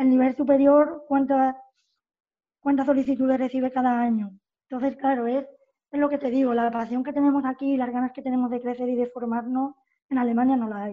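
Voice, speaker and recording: A dark, mellow tone delivered at a fairly quick pace in a flat, monotone intonation. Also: woman, high pitch for a woman. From Spain, Cádiz (Puerto Real). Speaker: youth basketball coach. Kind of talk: interview.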